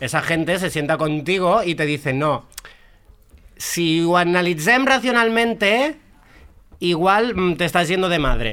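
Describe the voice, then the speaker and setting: Speaking at a fairly slow pace with long, frequent pauses, a man uses a high pitch, lively intonation and a bright, sharp tone. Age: 20s. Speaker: drag performer and party organizer. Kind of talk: casual chat.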